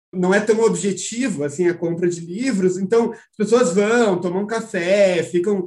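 Ordinary pitch variation in a high-pitched male voice. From Porto Alegre, southern Brazil. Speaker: literature teacher and reading group mediator. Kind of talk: casual chat. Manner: animated.

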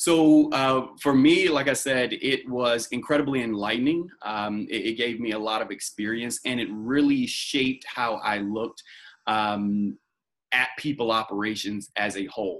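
A man with an American accent speaks in an unremarkable speaking voice. His pitch is medium with ordinary variation, and his pace is moderate. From North Carolina, US South. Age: 20s. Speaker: staffing company executive. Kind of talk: interview.

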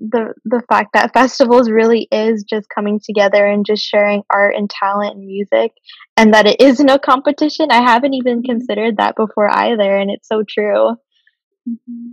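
A woman speaks with an unremarkable speaking voice, pitched fairly high. The sound is dry and close, with no echo. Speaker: podcast host. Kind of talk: casual interview chat.

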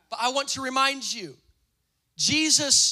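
An extremely high-pitched man speaks in a raised, projected voice. His tone is animated. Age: 20s. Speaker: pastor. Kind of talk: sermon.

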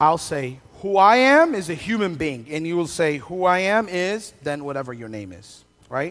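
The voice is raised and projected, with a bright, sharp tone. It keeps a moderate pace. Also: man. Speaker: pastor. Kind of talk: sermon. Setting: church with live audience and band. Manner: conversational, humorous.

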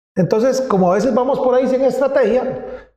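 Lively intonation colors a man's dark, mellow tone. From Costa Rica, Pérez Zeledón (south). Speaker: digital agency founder. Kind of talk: interview.

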